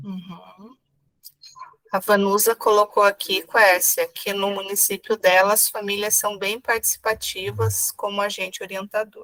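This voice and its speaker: Woman at a fairly slow pace, medium pitch, monotone, flat intonation, dry, close sound with no echo. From Paraná, southern Brazil. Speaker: pedagogue, event host. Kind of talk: reading chat messages.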